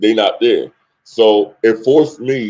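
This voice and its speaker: In a New York accent, a man talks at a medium pitch with fairly even intonation. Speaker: music industry CEO. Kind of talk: interview.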